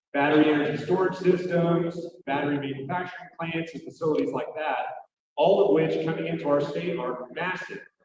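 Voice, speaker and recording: Speaking at a fairly quick pace with ordinary pitch variation, a man with a fairly high voice is heard with audible room echo. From Oklahoma City. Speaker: state representative. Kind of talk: political speech.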